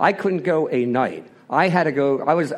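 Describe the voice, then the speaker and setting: A man with an unremarkable speaking voice speaks in an American accent at a fairly high pitch. The background is quiet. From Philadelphia, US. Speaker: recovering alcoholic speaker. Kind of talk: personal testimony.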